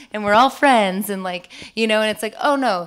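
A woman speaks with ordinary pitch variation against a quiet background. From Boston, US. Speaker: TV creator. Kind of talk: interview on stage. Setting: conference stage with audience. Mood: reflective, candid, somewhat emotional. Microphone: handheld.

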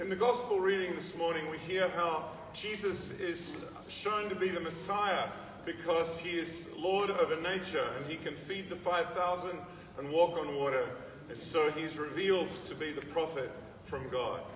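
A high-pitched man at a moderate pace, with audible room echo and light background noise. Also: ordinary pitch variation. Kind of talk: service welcome and introduction. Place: hall. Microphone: camera far.

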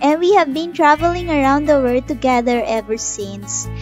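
A woman with a Filipino accent in an upbeat tone, dry with no echo, over clear music in the background. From Philippines. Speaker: travel vlogger. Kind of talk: channel trailer, casual talk to camera. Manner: upbeat, friendly.

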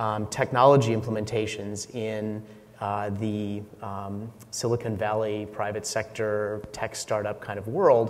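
This man speaks at a moderate pace. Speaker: conference speaker. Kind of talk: conference talk. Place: stage.

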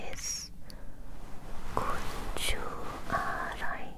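A woman is speaking. The background noise is loud. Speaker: ASMR creator. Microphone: studio mic.

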